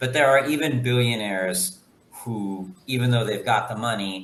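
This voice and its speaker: Over noticeable background noise and audible room echo, a man with an American accent talks at a moderate pace, his fairly low pitch held in fairly even intonation. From United States, Guatemalan family. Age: 40s. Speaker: guest on a talk show. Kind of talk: casual chat. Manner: halting.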